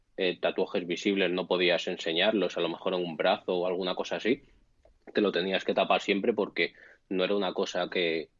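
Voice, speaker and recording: In a very deep, low pitch, a man delivers his words at a fairly quick pace with a monotone, flat intonation. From Spain. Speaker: bartender. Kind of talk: casual chat.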